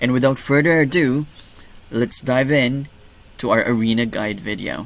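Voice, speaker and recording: Here a man speaks in a Filipino accent at a moderate pace. His pitch is medium, with ordinary variation. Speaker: gaming YouTuber. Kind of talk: tutorial. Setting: home recording. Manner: soft-spoken; hesitant, many fillers.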